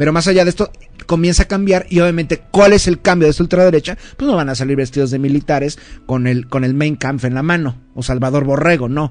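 A fairly high-pitched man is speaking. He goes at a very fast pace. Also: ordinary pitch variation. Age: 30s. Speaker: history commentator. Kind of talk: casual chat. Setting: live radio studio.

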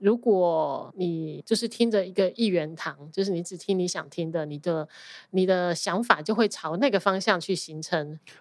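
A woman with a Taiwanese accent speaks at a moderate pace in a fairly low pitch with ordinary variation, on a very clean recording with a silent background. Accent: Taiwanese-accented Mandarin. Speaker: accountant. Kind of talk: casual interview chat. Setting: podcast interview.

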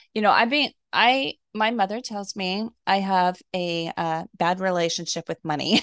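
In a dry, close sound with no echo, a woman speaks at a fairly slow pace with fairly low pitch, ordinary pitch variation and an ordinary speaking voice. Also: quiet background. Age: 50s. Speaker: wellness podcast host. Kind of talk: interview.

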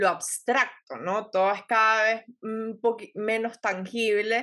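Over a quiet background, a woman speaks at a medium pitch with a bright, sharp tone. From Venezuela. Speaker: podcast host, astrology and wellness. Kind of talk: casual interview chat. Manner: animated.

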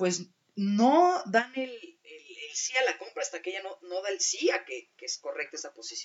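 Spoken at a moderate pace, this voice makes very wide swings in pitch. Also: woman. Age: 30s. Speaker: alternative therapist. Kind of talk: casual chat.

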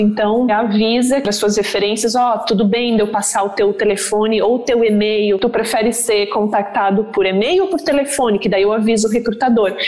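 In a southern Brazilian accent, a woman talks at a fairly quick pace. Noticeable background noise and audible room echo surround her. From Santa Catarina, southern Brazil (rural interior). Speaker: human resources professional. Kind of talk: casual interview.

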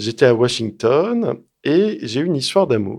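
A normal speaking voice with lively intonation at a fairly slow pace. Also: man. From France, Lyon. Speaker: strategic studies researcher and author. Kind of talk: interview.

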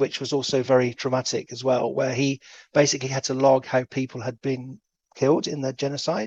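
Someone speaks at a moderate pace in an English accent, with a dry, close sound and no echo. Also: man. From England. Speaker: anti-slavery charity worker. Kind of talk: interview.

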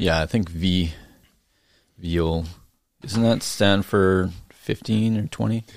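With a very deep, low pitch, a man speaks at a very slow pace, leaving long, frequent pauses. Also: ordinary pitch variation. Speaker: real estate agent. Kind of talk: casual chat.

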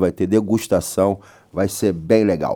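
A man's dark, mellow tone at a fairly low pitch. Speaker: radio host. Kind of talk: morning radio show. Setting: studio. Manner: animated.

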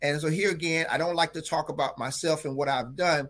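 The speaker has a North Carolina accent. The pace is fairly quick, with ordinary pitch variation. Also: man. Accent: rural North Carolina Southern US. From North Carolina, Franklin County. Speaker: drama teacher. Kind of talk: casual interview.

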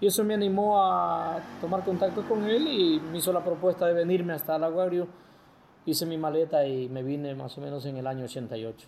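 A man's high voice, with normal pitch movement, proceeds at a medium speed. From El Oro province, coastal Ecuador. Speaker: sports broadcaster and lawyer. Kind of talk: testimony.

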